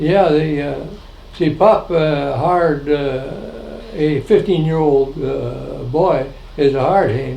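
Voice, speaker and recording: A very slow voice with an American accent and ordinary pitch variation, amid noticeable background noise and audible room echo. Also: man, fairly high pitch for a man. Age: 90s. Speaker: family elder recounting history. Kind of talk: oral history interview. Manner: halting, many fillers.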